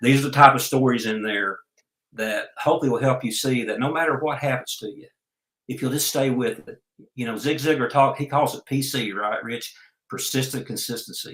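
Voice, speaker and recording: With an Oklahoma accent, a man talks at a fairly quick pace in a medium pitch with ordinary pitch variation. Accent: US Southern (Oklahoma). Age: 60s. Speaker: entrepreneur and life coach. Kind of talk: interview.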